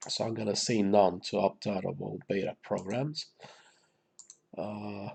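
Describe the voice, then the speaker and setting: Speaking at a fairly slow pace, a man talks with vocal fry. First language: Romanian. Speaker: gaming YouTuber. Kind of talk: gameplay commentary. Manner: casual, hesitant with many fillers.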